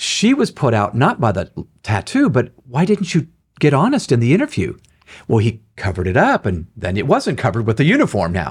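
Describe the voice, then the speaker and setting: Somewhat breathy, a man talks at a fairly quick pace and a medium pitch with very wide pitch swings. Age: 60s. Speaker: author and leadership speaker. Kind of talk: interview.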